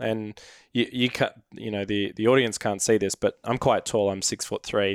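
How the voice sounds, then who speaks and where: A man with an Australian accent, fairly low-pitched and monotone with flat intonation, at a moderate pace, on a very clean recording with a silent background and a dry, close sound with no echo. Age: 20s. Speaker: product manager, points collector. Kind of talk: casual chat. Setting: studio.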